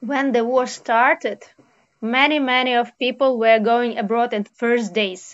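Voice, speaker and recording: A woman's fairly high voice in a Ukrainian accent, very slow in pace, with fairly even intonation. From Ukraine. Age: 30s. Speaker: refugee. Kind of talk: interview. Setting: video call. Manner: halting.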